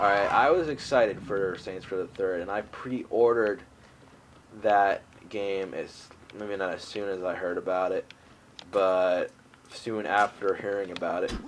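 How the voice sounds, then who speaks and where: Noticeable background noise sits behind a man's voice. He speaks at a fairly low pitch and a fairly slow pace. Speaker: gaming youtuber. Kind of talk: gameplay commentary. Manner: monotone.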